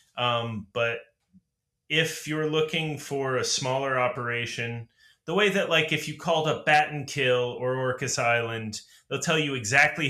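Medium-pitched male voice, its pitch moving in an ordinary way. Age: 40s. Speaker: podcast host, instrument maker. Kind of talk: casual chat. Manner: animated.

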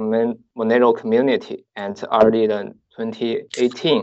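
A man speaks with a Chinese accent. His pace is very slow. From southeastern China. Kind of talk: interview.

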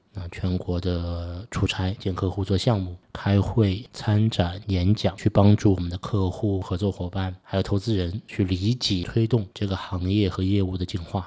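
A man with a very deep, low pitch and a dark, mellow tone speaks in a monotone, flat intonation at a fairly slow pace, somewhat breathy and with hardly any pauses, in a very clean recording with a silent background. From Suzhou, Jiangsu, China. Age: 40s. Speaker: podcast host. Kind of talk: solo podcast monologue.

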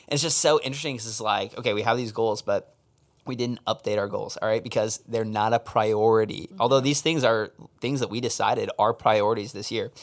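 Fairly quick and medium-pitched, a man talks in a normal speaking voice with fairly even intonation. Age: 20s. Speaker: podcast host. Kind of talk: casual chat.

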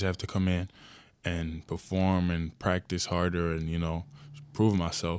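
A man's very deep, low voice in a monotone, flat intonation, on a very clean recording with a silent background. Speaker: college basketball player. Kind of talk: interview.

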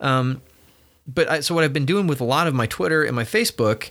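A man talks at a moderate pace in a normal speaking voice, on a very clean recording with a silent background. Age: 40s. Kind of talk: casual chat. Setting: office.

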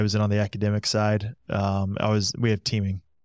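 On a very clean recording with a silent background and a dry, close, echo-free sound, a man with an American accent talks fairly quickly at a fairly low pitch. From Indiana, US Midwest. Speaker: high school athletic director and nonprofit director. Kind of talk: casual interview.

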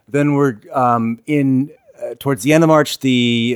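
Speech comes at a fairly slow pace. The sound is dry and close with no echo, in a very clean recording with a silent background. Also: man. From Wisconsin, Milwaukee. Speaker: musician. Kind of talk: casual chat. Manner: halting, many fillers.

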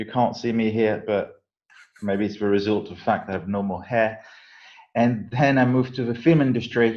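With a French accent, a man talks at a fairly quick pace at medium pitch, his intonation fairly even. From southern France. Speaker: film marketing executive. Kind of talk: interview.

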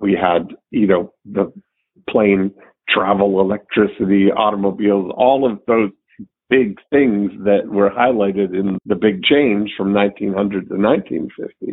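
A man speaks at a fairly slow pace and a fairly low pitch in an ordinary speaking voice. His pitch variation is ordinary. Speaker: podcast host. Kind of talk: casual chat.

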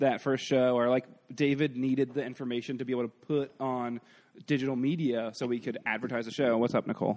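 A man talks at a fairly quick pace and medium pitch with fairly even intonation. He has a plain, everyday voice. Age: 30s. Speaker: improv comedian. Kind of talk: casual chat. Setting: stage with audience.

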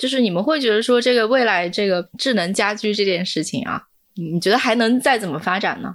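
A woman's plain, everyday voice at a medium pitch, with ordinary pitch variation and a fairly quick pace. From Hunan, China. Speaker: podcast host, editor-in-chief. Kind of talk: interview moderation, casual.

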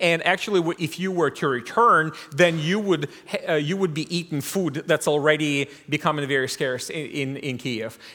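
A man speaks at a moderate pace with a fairly high pitch. His tone is bright and sharp, with ordinary pitch variation. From Ukraine. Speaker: missionary. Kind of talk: sermon.

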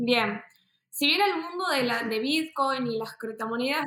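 Speaking at a fairly slow pace, a woman has a high pitch and a bright, sharp tone. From Argentina, Buenos Aires. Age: 20s. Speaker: entrepreneur, crypto investor. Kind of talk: interview.

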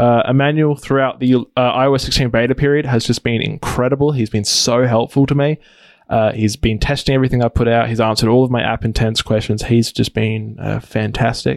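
A man with an Australian accent speaks at a fairly quick pace in a flat monotone, his loudness very even and the sound dry and close with no echo. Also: medium pitch for a man. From Australia, Adelaide. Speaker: app developer. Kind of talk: interview. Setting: video call.

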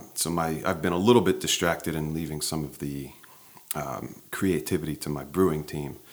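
A man with an American accent talks at a fairly quick pace. His very deep, low voice keeps a fairly even intonation. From New Jersey, US. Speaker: brewery co-founder and author. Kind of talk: interview, casual chat. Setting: in person.

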